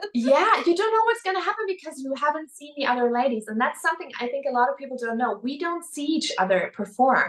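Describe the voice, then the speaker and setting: Against noticeable background noise, a woman talks at a very fast pace with a high pitch. Her loudness swings a lot and her pitch swings very widely. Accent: German. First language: German. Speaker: beauty pageant winner. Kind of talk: interview.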